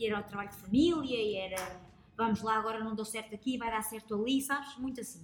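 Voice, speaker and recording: A woman with a fairly high pitch talks at a very fast pace in an animated tone over noticeable background noise. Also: ordinary pitch variation. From northern Portugal, Lousada. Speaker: reporter. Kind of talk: casual chat. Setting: taproom.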